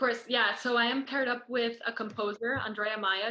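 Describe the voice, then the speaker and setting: Her tone bright and sharp, a woman speaks at a moderate pace with fairly even intonation. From Costa Rica. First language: Spanish. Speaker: student performer. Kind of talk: interview.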